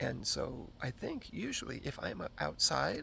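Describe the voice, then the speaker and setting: A man speaks in a soft-spoken way. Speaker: vlogger. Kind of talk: casual vlog talk. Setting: outdoors in backyard. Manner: halting.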